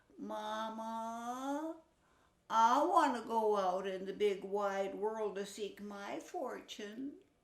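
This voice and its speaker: In a put-on character voice, a female-sounding speaker talks at a fairly high pitch and a very slow pace. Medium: read story. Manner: naive, boastful.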